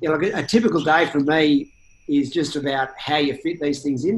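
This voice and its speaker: Speaking at a fairly quick pace, a man with an Australian accent uses a fairly high pitch. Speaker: insurance startup CEO. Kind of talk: interview. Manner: halting, repeats words.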